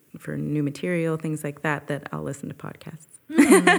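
A woman speaks with a West Coast accent. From Northern California (Petaluma). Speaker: jazz singer and voice teacher. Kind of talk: casual interview.

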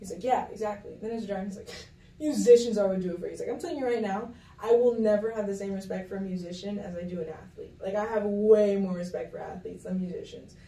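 With an American accent, a woman talks very fast at a medium pitch, her pitch varying in an ordinary way while her loudness swings widely. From Miami, Florida (Kendall). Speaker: podcast guest. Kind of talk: casual chat.

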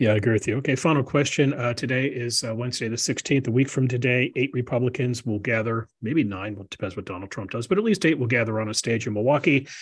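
Man with an American accent at a medium pitch, very fast and hardly pausing, somewhat breathy, with ordinary pitch variation. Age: 60s. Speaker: podcast host and policy fellow. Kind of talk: interview.

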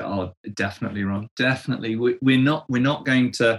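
With an English accent, a man speaks at a moderate pace and medium pitch, his intonation fairly even. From England. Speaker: church leadership coach. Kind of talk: interview conversation. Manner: halting, with frequent word repetitions.

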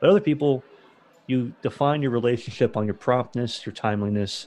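A man talks at a fairly quick pace with ordinary pitch variation. It is a normal speaking voice. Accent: American. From Florida. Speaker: podcast host, beverage distributor employee. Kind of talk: casual interview.

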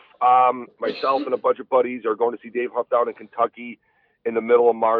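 A man with a plain, everyday voice, ordinary pitch variation and a fairly quick pace. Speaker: fly fishing guide and YouTuber. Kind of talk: casual chat. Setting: studio.

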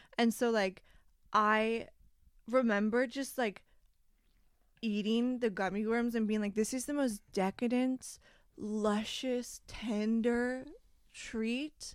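The pace is very slow, with long, frequent pauses. Intonation stays fairly even. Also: woman, fairly high pitch for a woman. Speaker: podcast co-host. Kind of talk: casual chat.

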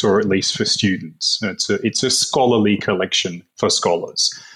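A man with an Australian accent. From Melbourne, Australia. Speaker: philosopher and writer. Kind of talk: casual interview chat.

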